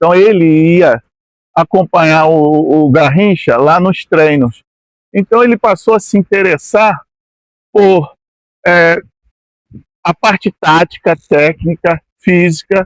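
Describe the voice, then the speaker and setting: Speaking very slowly with long, frequent pauses, a man uses a high pitch and ordinary pitch variation. The sound is dry and close, with no echo. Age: 60s. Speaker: former amateur footballer. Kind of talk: interview. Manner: halting, with frequent repetitions.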